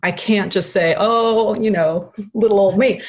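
A woman with an ordinary speaking voice and a fairly high pitch is speaking. She goes at a fairly slow pace with lively intonation. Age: middle-aged. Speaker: nutritionist and acupressure therapist. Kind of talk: interview conversation.

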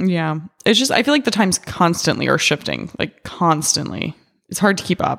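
A woman's fairly low voice carries noticeable vocal fry. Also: lively intonation, moderate pace. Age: 20s. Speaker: podcast guest. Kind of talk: casual chat.

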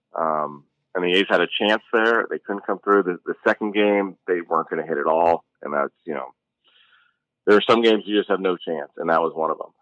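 The voice moves at a fairly quick pace with ordinary pitch variation, recorded dry and close with no echo. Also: man, very deep, low pitch for a man. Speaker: baseball analyst and podcast co-host. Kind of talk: casual sports analysis chat.

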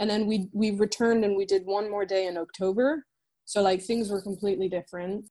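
A woman's dark, mellow voice at medium pitch, with an American accent, fairly even intonation and a fairly quick pace. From France. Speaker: filmmaker and editor. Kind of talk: casual interview chat. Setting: remote call from London.

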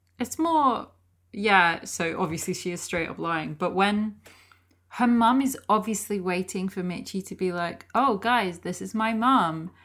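On a very clean recording with a silent background, a woman with a plain, everyday voice speaks at a fairly slow pace, with medium pitch and ordinary pitch variation. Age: 20s. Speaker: podcast co-host. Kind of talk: casual chat.

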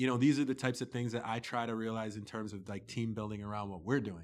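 A plain, everyday voice from a man with a Canadian accent, fairly low in pitch, with fairly even intonation, on a very clean recording with a silent background. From Toronto, Canada. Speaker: entrepreneur. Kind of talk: casual interview. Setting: studio.

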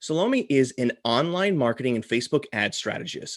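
A man talks at a fairly slow pace in a normal speaking voice. His intonation is lively. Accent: American. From US, Florida. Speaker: podcast co-host. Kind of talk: casual chat.

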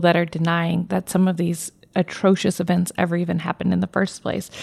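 A woman speaks with a dark, mellow tone at a fairly quick pace. Her intonation is monotone and flat. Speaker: podcast co-host. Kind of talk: interview.

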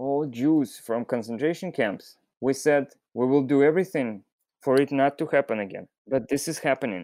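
Speaking at a fairly slow pace with a Russian accent, a man with a fairly high pitch and a dark, mellow tone shows ordinary pitch variation in a dry, close sound with no echo. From Belarus, Minsk. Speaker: fisherman. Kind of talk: interview. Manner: halting.

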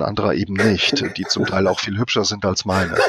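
Someone talks at a fairly quick pace over noticeable background noise. The sound is dry and close, with no echo. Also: man. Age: 50s. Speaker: quality management expert. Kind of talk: interview. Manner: halting.

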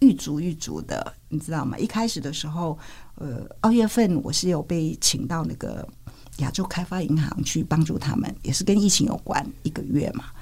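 The pitch swings very widely while the pace stays moderate. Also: woman. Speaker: physician and public health scholar. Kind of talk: interview conversation. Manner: hesitant with fillers and laughter.

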